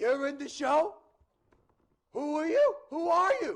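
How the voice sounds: Putting on a character voice in a strong Boston accent, a man talks at a fairly slow pace in an extremely high pitch. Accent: thick Boston.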